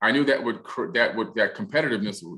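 A man speaks with a bright, sharp tone and an American accent. The background is quiet. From US Northeast. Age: 50s. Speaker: author and TV producer; interview guest. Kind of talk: interview. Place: home room. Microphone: studio mic.

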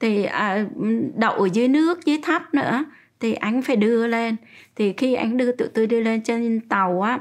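Ordinary pitch variation marks a woman's fairly slow speech. Nothing intrudes on the quiet background. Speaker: interviewee. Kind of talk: interview answer. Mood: calm, reflective recounting. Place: home room.

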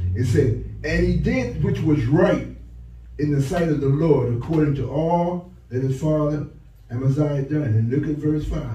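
Light background noise and audible room echo surround the recording. A man talks at a fairly slow pace with ordinary pitch variation. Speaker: pastor. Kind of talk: sermon. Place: church.

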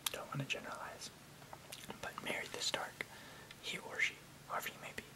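Loud background noise fills the space while a man talks. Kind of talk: soft-spoken ASMR reading and outro chat. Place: home room. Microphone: webcam.

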